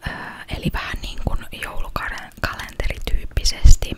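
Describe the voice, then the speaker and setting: Someone whispers over noticeable background noise. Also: woman. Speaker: ASMR content creator. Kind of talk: casual talk to camera, ASMR chat. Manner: soft-spoken, whispered.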